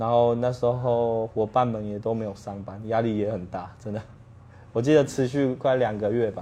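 Keeping a fairly even intonation, a man with a medium pitch talks at a moderate speed. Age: 30s. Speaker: bar owner. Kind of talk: interview.

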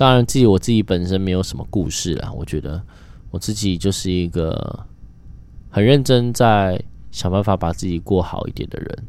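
A man with a Taiwanese accent speaks at a moderate pace. His pitch is very deep and low, with ordinary pitch variation. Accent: Taiwanese Mandarin. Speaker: podcast host. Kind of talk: casual solo monologue.

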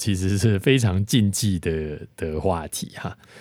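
On a very clean recording with a silent background, a man talks in a very deep, low pitch. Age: 40s. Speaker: podcast host, lyricist and lyric-writing teacher. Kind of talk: lyric analysis monologue. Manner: filler-heavy, many particles like 哈 and 哦.

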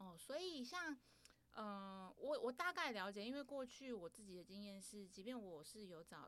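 A woman's fairly high voice makes very wide pitch swings and big swings in loudness. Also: moderate pace. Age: 30s. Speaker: podcast host. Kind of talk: casual chat.

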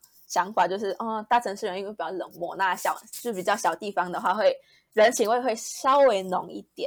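A plain, everyday voice at a fairly quick pace, with big swings in loudness. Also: woman, medium pitch for a woman, ordinary pitch variation. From Malaysia. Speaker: recent university graduate. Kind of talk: interview.

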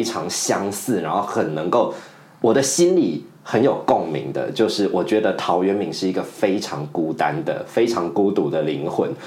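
A man speaks in a fairly low-pitched voice. Noticeable background noise and audible room echo surround him. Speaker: podcast co-host and teacher. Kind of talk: casual chat.

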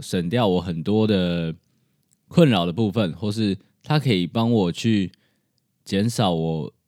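In a very clean recording with a silent background, a man with a fairly low pitch talks at a fairly slow pace with lively intonation. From Taiwan. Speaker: podcast host. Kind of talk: solo podcast monologue. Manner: casual.

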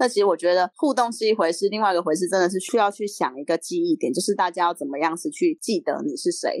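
Talking very fast with hardly any pauses and very wide pitch swings, a woman is heard in a dry, close sound with no echo. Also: medium pitch for a woman, quiet background. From Taiwan, Yunlin County. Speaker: city council candidate. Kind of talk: interview.

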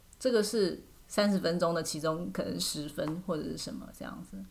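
Speaking at a moderate pace, a woman shows vocal fry and ordinary pitch variation. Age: 30s. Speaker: podcast host. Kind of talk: casual chat.

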